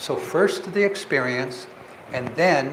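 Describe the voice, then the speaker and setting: A man with an American accent speaks at a fairly slow pace with lively intonation. Audible room echo and noticeable background noise surround him. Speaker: meditation teacher. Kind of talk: lecture.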